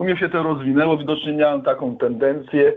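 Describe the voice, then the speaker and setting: With a plain, everyday voice, a man talks at a fairly high pitch with ordinary pitch variation. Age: 50s. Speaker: recovering alcoholic guest. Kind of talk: testimony. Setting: phone call.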